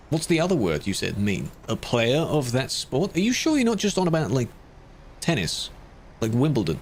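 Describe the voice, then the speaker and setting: A man speaks in a fairly high voice with vocal fry and very wide pitch swings, at very even loudness. The recording is very clean, with a silent background. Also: moderate pace. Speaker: streamer and game moderator. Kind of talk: live stream chat while moderating. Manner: adds silly exaggerations to his voice for comedy.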